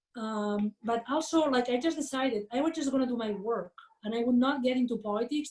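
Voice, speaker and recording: A woman's high-pitched voice at a fairly quick pace, with ordinary pitch variation. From Catalonia, Spain (Barcelona). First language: Catalan/Spanish. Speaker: management professor. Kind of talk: interview. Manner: many fillers and false starts.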